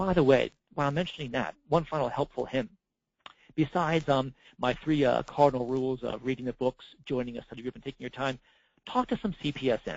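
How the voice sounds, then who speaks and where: Very fast and with ordinary pitch variation, a man delivers his words. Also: medium pitch for a man. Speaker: certification program manager giving training. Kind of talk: recorded webinar presentation. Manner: halting, many fillers and repeats.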